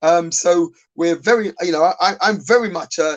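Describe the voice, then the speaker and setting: The sound is dry and close with no echo as a man with a South London accent talks at a moderate pace. His pitch is high and varies in an ordinary way. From South London (Lewisham). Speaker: business owner. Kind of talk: panel discussion. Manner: halting, many fillers and repeats.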